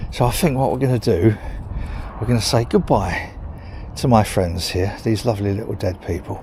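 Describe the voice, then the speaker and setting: A man with an English accent speaks at a moderate pace in a medium-pitched voice. His pitch moves in an ordinary way, and noticeable background noise sits behind him. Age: 60s. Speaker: vlogger. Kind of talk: casual vlog monologue. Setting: outdoors, walking dog in cemetery.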